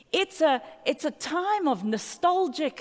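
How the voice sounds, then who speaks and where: In an American accent, a woman speaks at a very slow pace. Her pitch swings very widely. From South Africa. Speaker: pastor. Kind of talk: sermon. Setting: church service with congregation.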